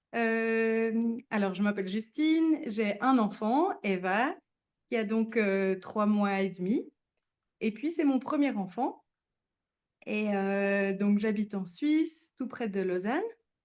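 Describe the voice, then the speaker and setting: Her pitch is fairly high and her intonation lively. The woman speaks at a very slow pace. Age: 20s. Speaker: podcast guest, new mother. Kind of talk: testimony. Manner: halting, many fillers and repetitions.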